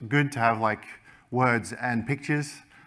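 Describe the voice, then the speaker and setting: In a bright, sharp tone, a man talks at a fairly slow pace with ordinary pitch variation against a quiet background. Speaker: keynote speaker. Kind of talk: conference talk. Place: stage.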